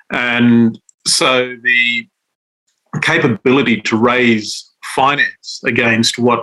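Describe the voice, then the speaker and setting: Using a bright, sharp tone, a man with an Australian accent speaks at a medium pitch with fairly even intonation. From Western Australia, Central Desert. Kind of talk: interview. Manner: halting, many fillers.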